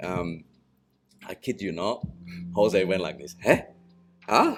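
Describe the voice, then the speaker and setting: In a very deep, low voice with a non-native accent, a man speaks at a very slow pace with fairly even intonation and big swings in loudness. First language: not English. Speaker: massage therapist. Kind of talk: casual chat. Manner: halting.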